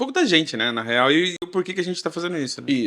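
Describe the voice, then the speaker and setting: Speaking at a very fast pace, a man uses a high pitch that swings very widely. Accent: Brazilian. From Brazil.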